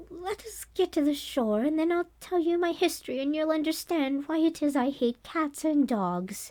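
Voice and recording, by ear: In a very clean recording with a silent background, a woman uses a put-on character voice that is squeaky and shaky, pitched high. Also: moderate pace.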